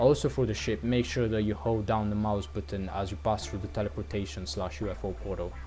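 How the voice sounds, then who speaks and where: A man at fairly low pitch and a fairly quick pace, hardly any pauses, with music in the background. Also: lively intonation. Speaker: gaming youtuber. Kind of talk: game level review. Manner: stuttering.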